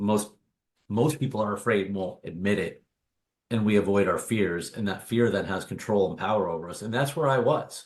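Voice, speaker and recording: A man with an unremarkable speaking voice, fairly low in pitch, talks at a fairly quick pace with ordinary pitch variation. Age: 40s. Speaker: author and obstacle course racer. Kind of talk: podcast interview.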